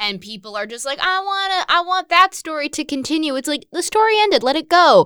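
A woman with an American accent speaks in a raised, projected voice at an extremely high pitch, her bright, sharp tone animated and swinging very widely in pitch as she talks at a fairly quick pace with hardly any pauses, the sound dry and close with no echo. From US Northeast, Westchester, New York. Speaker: podcast co-host. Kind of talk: casual chat.

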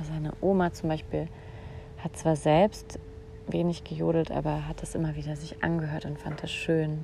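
A woman keeps to a moderate speed. Behind her, background noise is noticeable. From Saarland, Germany. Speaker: podcast host and voice coach. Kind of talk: solo podcast monologue. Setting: outdoors in a garden.

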